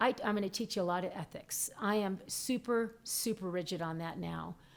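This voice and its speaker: A woman talks in an ordinary speaking voice, with medium pitch, ordinary pitch variation and a moderate pace. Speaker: psychic medium. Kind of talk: live stream teaching. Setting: live stream.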